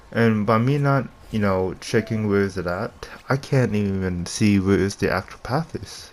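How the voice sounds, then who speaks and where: Over noticeable background noise, a man speaks in a fairly low voice. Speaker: gaming commentator. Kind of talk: casual gameplay commentary.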